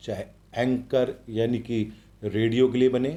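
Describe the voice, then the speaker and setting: Recorded very cleanly against a silent background, a man speaks at a medium pitch with a dark, mellow tone. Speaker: voice-over artist. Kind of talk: interview answer.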